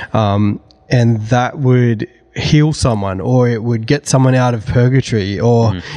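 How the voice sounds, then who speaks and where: A man speaks with an Australian accent at a medium pitch and a fairly slow pace. His pitch varies in an ordinary way. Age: 30s. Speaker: church creative director. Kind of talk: casual chat.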